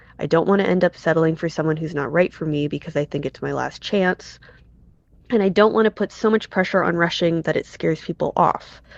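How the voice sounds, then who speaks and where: A woman's fairly low voice with ordinary pitch variation, dry and close with no echo, over a quiet background. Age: 30s. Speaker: listener sending voicemail question. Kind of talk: recorded voicemail question. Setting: voicemail recording. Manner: articulate.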